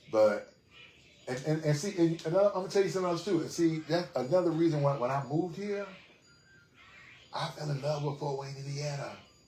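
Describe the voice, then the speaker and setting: With an American accent, a man speaks at a fairly high pitch with ordinary pitch variation and a fairly quick pace. There are long, frequent pauses and noticeable background noise. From New York City (Queens). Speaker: podcast host. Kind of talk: casual interview chat. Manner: animated.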